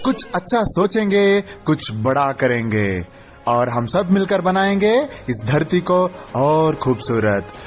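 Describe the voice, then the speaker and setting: A man's fairly high voice with very wide pitch swings and very even loudness, music in the background. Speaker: radio jockey contestant. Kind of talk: radio show promo / jingle read. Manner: energetic, upbeat.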